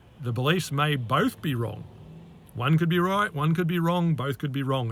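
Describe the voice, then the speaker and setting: In an Australian accent, a man talks at a fairly quick pace with a fairly high pitch and ordinary pitch variation. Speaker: life coach. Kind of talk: monologue to camera. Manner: halting, many fillers.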